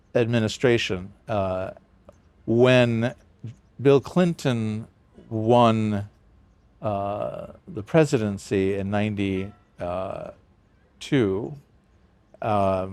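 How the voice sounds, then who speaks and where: A man with an American accent at a very slow pace, fairly low in pitch with ordinary pitch variation, long and frequent pauses, and music in the background. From US Midwest, Chicago area. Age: 60s. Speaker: priest and professor. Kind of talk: interview conversation. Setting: outdoors.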